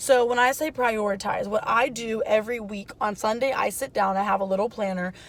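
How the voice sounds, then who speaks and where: With an ordinary speaking voice, a woman of fairly high pitch talks at a fairly quick pace with ordinary pitch variation and hardly any pauses. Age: 20s. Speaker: lifestyle vlogger, mom and student. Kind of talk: casual vlog talk to camera. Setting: in a car. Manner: casual with many fillers.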